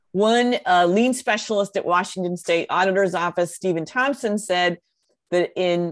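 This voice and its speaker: A woman's normal speaking voice at medium pitch, delivered at a fairly slow pace. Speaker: podcast co-host. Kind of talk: podcast conversation.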